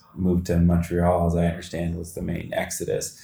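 Somewhat breathy and very deep, a man's voice with a Canadian accent moves at a moderate pace. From London, Ontario. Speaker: podcast host. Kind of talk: interview. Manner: halting, many fillers.

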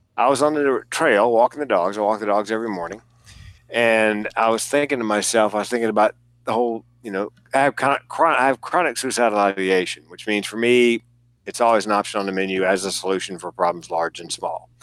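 This man has a Southern US accent and a fairly low pitch. He talks at a fairly quick pace with ordinary pitch variation. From US South. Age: 60s. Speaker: comedian and suicide prevention speaker. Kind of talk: casual chat. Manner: animated.

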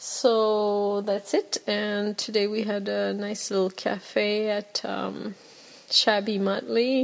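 At a very slow pace, a woman speaks with a French accent against noticeable background noise. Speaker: podcast host. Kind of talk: casual solo monologue podcast. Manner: filler words, self-conscious.

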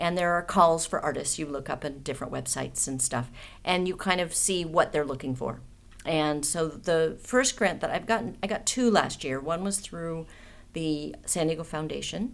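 Here a woman speaks in an ordinary speaking voice, fairly low in pitch. Her intonation is lively and her pace moderate. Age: 50s. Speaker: artist and political activist. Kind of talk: casual chat.

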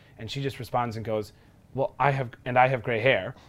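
This is a normal speaking voice with an American accent. The pace is fairly quick. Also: man. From Milwaukee, Wisconsin. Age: 20s. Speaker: interviewee. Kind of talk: testimony.

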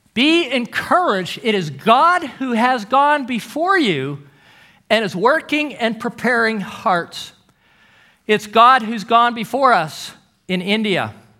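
A man with an extremely high pitch and very wide pitch swings, bright and sharp, raised and projected, at a very slow pace. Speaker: guest preacher. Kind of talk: sermon.

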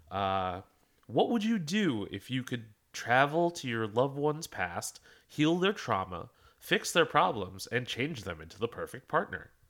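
With an American accent, a medium-pitched man talks fairly slowly, his pitch swinging very widely and his loudness shifting in big swings. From Philadelphia. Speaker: podcast co-host. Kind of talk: casual chat. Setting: home.

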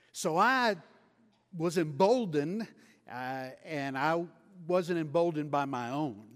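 A man speaks slowly-ish, at a fairly slow pace, in a Texan accent with lively intonation. The recording is very clean, with a silent background. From West Texas. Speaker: missionary preacher. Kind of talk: sermon. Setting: church.

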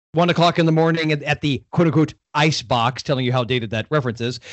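A man with an American accent has a normal speaking voice with a fairly high pitch. He talks at a fairly quick pace with ordinary pitch variation. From Florida. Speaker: podcast guest, horror fan. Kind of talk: casual chat.

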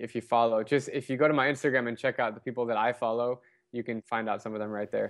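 Speaking at a fairly quick pace, a man with an American accent uses a normal speaking voice at a medium pitch, his intonation fairly even. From Arizona, US. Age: 20s. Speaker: travel blogger. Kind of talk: interview. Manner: casual.

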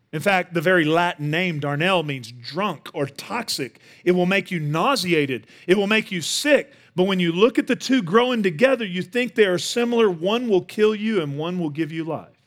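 A man with a Texan accent, high in pitch with lively intonation, at a moderate pace with hardly any pauses, on a very clean recording with a silent background. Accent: Texan Southern US. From Northeast Texas. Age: 40s. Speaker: guest pastor. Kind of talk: sermon. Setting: church stage with audience.

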